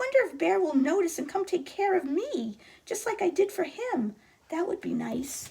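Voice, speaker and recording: The voice is a put-on character voice. It sounds squeaky. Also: woman, extremely high pitch for a woman, moderate pace. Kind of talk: bedtime story. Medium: read story.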